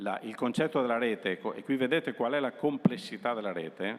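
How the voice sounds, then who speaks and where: A man with a normal speaking voice talks at medium pitch with lively intonation. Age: 60s. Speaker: utility company executive. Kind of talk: presentation to students.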